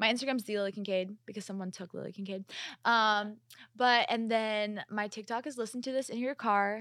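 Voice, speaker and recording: A woman's ordinary speaking voice in a General American accent, fairly high-pitched and fairly quick, with fairly even intonation, in a very clean recording with a silent background. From US Midwest, Kansas. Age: 20s. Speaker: singer-songwriter. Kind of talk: casual interview chat.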